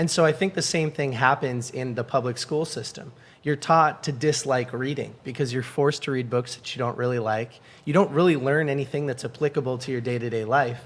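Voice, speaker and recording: A man with an American accent speaks in a normal speaking voice. His pitch is medium and his intonation fairly even. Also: fairly quick pace. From New England, Boston area. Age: 20s. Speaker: book community founder. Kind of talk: podcast interview.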